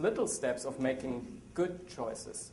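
This man speaks with a German accent and ordinary pitch variation. Room echo is audible. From Germany. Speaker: associate editor and biblical scholar. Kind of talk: seminar talk with audience.

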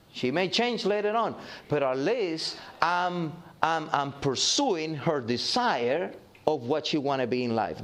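Audible room echo and noticeable background noise accompany a man whose fairly high pitch moves in very wide swings. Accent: slight Cuban. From Cuba. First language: Spanish. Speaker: pastor. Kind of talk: sermon. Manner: halting.

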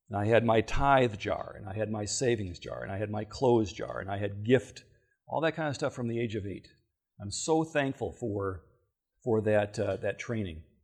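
A man speaks with an American accent, his voice somewhat breathy. The background is quiet. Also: fairly low pitch for a man, ordinary pitch variation, moderate pace. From Michigan. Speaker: financial seminar speaker. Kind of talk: seminar lecture.

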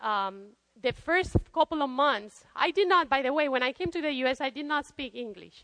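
A woman uses a raised, projected voice with a bright, sharp tone and lively intonation. Her moderate pace comes through in a dry, close sound with no echo. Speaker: seminar presenter. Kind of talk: seminar talk. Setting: conference seminar room. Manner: halting.

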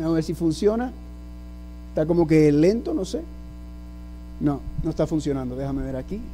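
A man speaks very fast in an animated tone, with long, frequent pauses. Audible room echo surrounds him. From US, New York City, Puerto Rican and Dominican parents. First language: English (speaking Spanish). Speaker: preacher. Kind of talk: sermon. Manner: animated, asks audience questions.

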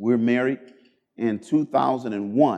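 In an American accent, a man speaks with a dark, mellow tone. His pace is fairly slow and his intonation fairly even. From Cleveland, Ohio, US. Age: 30s. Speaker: pastor. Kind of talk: sermon.

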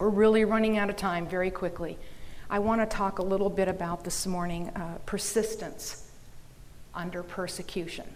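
With an American accent, a woman speaks at a medium pitch in monotone, flat intonation, with audible room echo. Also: moderate pace. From Minnesota, US Midwest. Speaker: business owner and seminar speaker. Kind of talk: seminar talk. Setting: conference room with audience.

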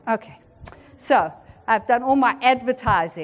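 This woman has a South African accent and a fairly high pitch that swings very widely. She sounds animated and keeps a moderate pace. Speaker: seminar presenter. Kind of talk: lecture. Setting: conference room with audience.

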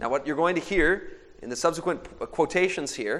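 In an American accent, a man talks at a moderate pace with fairly high pitch, ordinary pitch variation and an unremarkable speaking voice. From Michigan. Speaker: speaker. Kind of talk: sermon.

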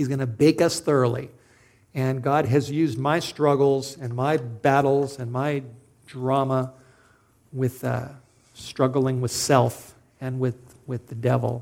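Pausing long and often, a man with an American accent speaks at a medium pitch in monotone, flat intonation. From Southern California. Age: 50s. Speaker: preacher. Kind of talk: sermon.

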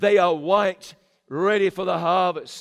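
A man talks at a moderate pace with ordinary pitch variation. His tone is animated. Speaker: preacher. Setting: church camp meeting with live congregation. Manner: animated, emphatic, urgent, repeating phrases for punch; storytelling cadence, conversational asides to congregation.

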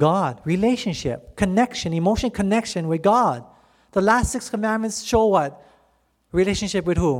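An animated tone at a moderate pace. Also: man, high pitch for a man, lively intonation. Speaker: preacher. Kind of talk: impassioned sermon, preacher in full flow, rallying the audience to say amen. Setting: stage with audience. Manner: animated, fervent, pleading, call-and-response.

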